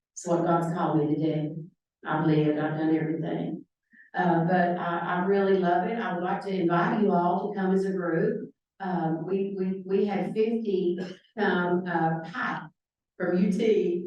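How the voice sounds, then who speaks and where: A woman with a normal speaking voice and a fairly low pitch talks at a fairly slow pace with fairly even intonation. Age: 60s. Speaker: hairdresser and nonprofit founder. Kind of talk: talk to a club audience with Q&A. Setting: club meeting with audience.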